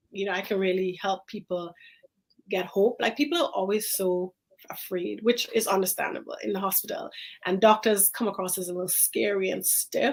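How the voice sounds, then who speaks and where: Speaking at a moderate pace with an Antiguan accent, a woman uses a medium pitch and fairly even intonation. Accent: Caribbean (Antiguan). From Antigua, Caribbean. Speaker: infectious disease physician. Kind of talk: casual interview chat. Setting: live-streamed talk show.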